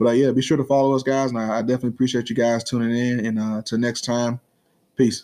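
Speaking fast, a man uses a medium pitch with little movement. His tone is dark and mellow.

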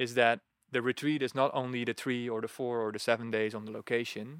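The speaker has a Dutch accent and keeps a moderate pace with fairly even intonation. The recording is very clean with a silent background, and the sound is dry and close with no echo. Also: man. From Netherlands. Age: 30s. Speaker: retreat facilitator. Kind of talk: casual interview.

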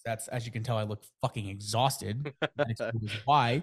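The recording is very clean, with a silent background. A man talks at a very fast pace in a medium pitch. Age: 20s. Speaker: podcast host and fire photographer. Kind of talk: casual chat.

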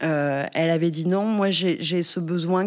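Her pitch is fairly low for a woman. It rises and falls in an ordinary way. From northern France. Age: 40s. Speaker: bereavement counselor. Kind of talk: interview conversation. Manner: halting, many hesitations.

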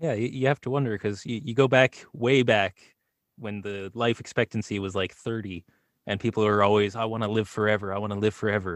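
An unremarkable speaking voice from a man, fairly low and fairly quick, with fairly even intonation, a dry, close sound with no echo, and a quiet background. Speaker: voice actor and YouTuber. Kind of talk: casual chat. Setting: video call.

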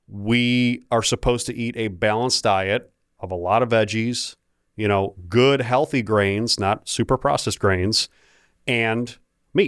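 At a fairly slow pace, a man speaks in a medium pitch with a plain, everyday voice. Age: 30s. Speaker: podcast host and health clinic owner. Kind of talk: casual interview chat.

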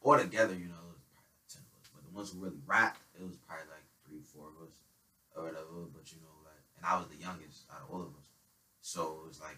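Talking at a very fast pace, a man with an American accent has a very deep, low pitch, a bright, sharp tone, fairly even intonation and big swings in loudness. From New Haven, Connecticut. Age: young. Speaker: rapper. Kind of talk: casual interview.

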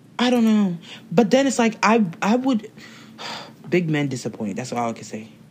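A woman of medium pitch speaks at a moderate pace, somewhat breathy, with long, frequent pauses. Her pitch swings very widely and her loudness swings a lot. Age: 20s. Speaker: podcast co-host. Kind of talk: casual chat.

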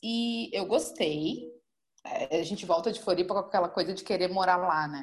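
Big swings in loudness mark a plain, everyday voice that proceeds at a moderate pace. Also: woman, medium pitch for a woman, ordinary pitch variation. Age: 20s. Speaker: marketing manager and travel content creator. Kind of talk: casual chat.

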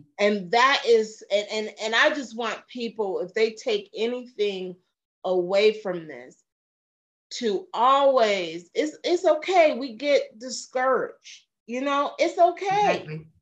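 Her pitch is fairly high and swings very widely, while her loudness rises and falls in big swings. The woman speaks at a very slow pace. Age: 40s. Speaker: minister and podcast host. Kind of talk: interview.

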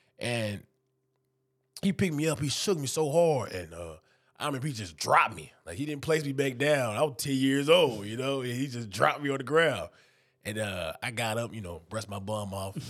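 An ordinary speaking voice with an American accent moves at a fairly quick pace, with lively intonation and big swings in loudness, on a very clean recording with a silent background. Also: man, medium pitch for a man. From Texas, Houston area. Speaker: college football player. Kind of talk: interview.

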